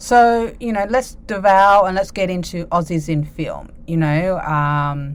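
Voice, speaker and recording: Against noticeable background noise, a woman with an Australian accent speaks fairly slowly in a fairly low voice, with ordinary pitch variation and hardly any pauses. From Australia, Sydney. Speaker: podcast host. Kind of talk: casual monologue; reading out organisation info. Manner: casual, carefree.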